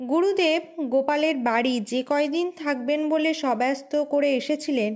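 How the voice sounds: A high-pitched female voice. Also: slightly mellow tone.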